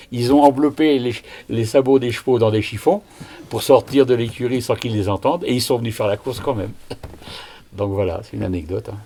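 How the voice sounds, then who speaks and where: A man speaks at a fairly quick pace and medium pitch with ordinary pitch variation, broken by long, frequent pauses. Noticeable background noise is present. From Brittany, near Rennes. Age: 70s. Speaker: retiree recalling village history. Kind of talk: oral history interview.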